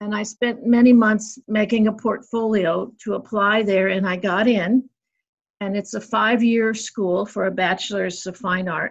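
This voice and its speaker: Against a quiet background, a woman with an American accent speaks at a fairly slow pace with a somewhat breathy voice. Her intonation stays fairly even. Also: medium pitch for a woman. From US Midwest and Northeast. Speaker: sculptor and painter. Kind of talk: casual interview.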